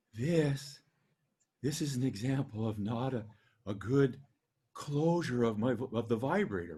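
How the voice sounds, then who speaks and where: Putting on a character voice, a man speaks breathily at a moderate pace and medium pitch, leaving long, frequent pauses. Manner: demonstrating poor vocal fold closure.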